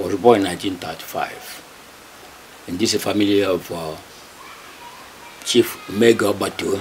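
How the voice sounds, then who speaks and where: Over noticeable background noise, a man with a Nigerian accent speaks at a fairly slow pace, with long, frequent pauses. His fairly low voice keeps a fairly even intonation. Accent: Nigerian Igbo English. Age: 80s+. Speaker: local historian, community elder. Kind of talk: oral history interview. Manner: halting, many hesitations.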